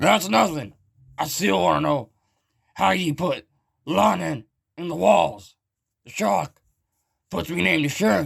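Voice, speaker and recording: A man's raspy, put-on character voice, fairly slow with long, frequent pauses, very wide pitch swings and big swings in loudness. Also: medium pitch for a man. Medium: machinima. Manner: gruff, rowdy.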